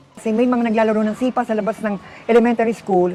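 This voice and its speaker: A woman talks at a very fast pace over noticeable background noise. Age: 60s. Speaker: interviewee. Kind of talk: testimony.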